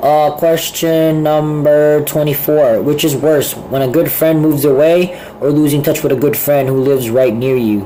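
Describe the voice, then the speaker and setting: A man talks at a moderate pace with fairly even intonation and very even loudness. Audible room echo and noticeable background noise are present. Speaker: vlogger. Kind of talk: casual vlog monologue. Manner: hesitant, filler-heavy.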